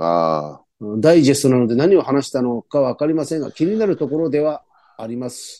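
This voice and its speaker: With a dark, mellow tone, a man talks at a fairly quick pace and uses lively intonation. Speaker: podcast co-host. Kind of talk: casual chat. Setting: video call.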